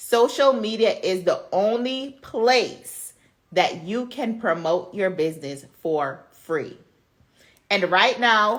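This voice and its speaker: The tone is animated, with lively intonation throughout. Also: woman. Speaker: small business owner and content coach. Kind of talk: live webinar Q&A talk. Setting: live video call.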